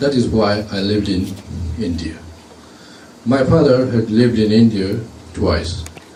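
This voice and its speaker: A man with a Japanese accent speaks at a moderate pace in a fairly low voice with ordinary pitch variation, with audible room echo and noticeable background noise. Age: 60s. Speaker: retired engineer, speaker at commemoration. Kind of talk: speech. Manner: halting, many fillers.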